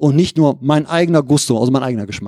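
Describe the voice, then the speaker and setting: This man's voice sits at a fairly high pitch. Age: 50s. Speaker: lay preacher. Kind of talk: sermon.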